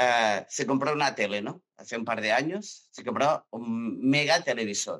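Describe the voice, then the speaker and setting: Moving at a fairly slow pace, a man with a normal speaking voice at medium pitch uses lively intonation. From Catalonia, Salt. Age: 40s. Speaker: actor. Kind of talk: casual chat.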